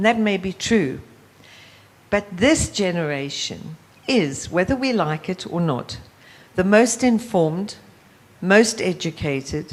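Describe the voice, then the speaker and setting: A woman with a South African accent speaks at medium pitch and a fairly slow pace, with lively intonation and long, frequent pauses. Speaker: youth leadership organization founder. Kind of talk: panel discussion.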